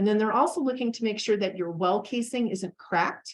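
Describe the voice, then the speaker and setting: It's a plain, everyday voice with ordinary pitch variation, moving at a fairly quick pace. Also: woman. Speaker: extension educator. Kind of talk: educational presentation.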